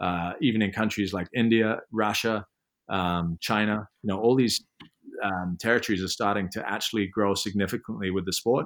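Fairly low in pitch, a man with an English accent speaks with fairly even intonation. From England. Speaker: sports organization CEO, former pro windsurfer. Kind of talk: interview.

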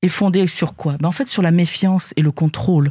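A woman at a medium pitch has a dark, mellow tone that is somewhat breathy, recorded dry and close with no echo. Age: old. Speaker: panelist. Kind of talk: panel discussion.

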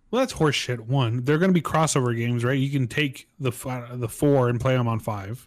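On a very clean recording with a silent background, a man with a normal speaking voice talks at a fairly quick pace and a medium pitch with ordinary pitch variation. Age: 30s. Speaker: podcast co-host. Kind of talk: casual chat.

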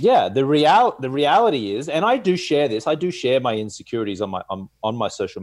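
With an Australian accent, a man speaks at a fairly high pitch and moves through very wide pitch swings. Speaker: sleep coach and entrepreneur. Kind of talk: casual interview chat.

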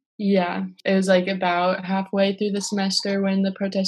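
A somewhat breathy woman's voice with an American accent and monotone, flat intonation. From US Midwest, South Minneapolis, Minnesota. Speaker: university student. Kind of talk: interview. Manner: casual, uses many fillers.

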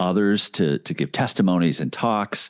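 A man with an American accent and a very deep, low pitch speaks at a moderate pace against a quiet background, the sound dry and close with no echo. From US Midwest, Indianapolis, Indiana. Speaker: young adult minister and podcast host. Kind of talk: interview.

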